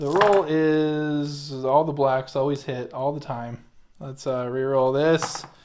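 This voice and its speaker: A man's fairly high voice at a very slow pace, with fairly even intonation, over noticeable background noise. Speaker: tabletop wargame player. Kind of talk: casual gameplay chat.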